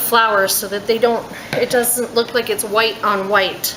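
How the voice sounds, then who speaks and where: Noticeable noise sits in the background. The pace is fairly slow. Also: woman. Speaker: soap maker. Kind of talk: tutorial. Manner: soft-spoken.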